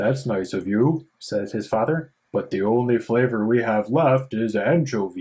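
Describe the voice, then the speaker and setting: A man puts on a character voice at medium pitch with ordinary pitch variation. He keeps a moderate pace with hardly any pauses on a very clean recording with a silent background. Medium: read story.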